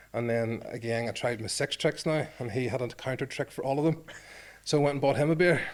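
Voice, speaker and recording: Using a Northern Irish accent, a man talks at a fairly quick pace and a medium pitch with ordinary pitch variation. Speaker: former rugby player. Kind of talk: podcast interview, storytelling. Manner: animated.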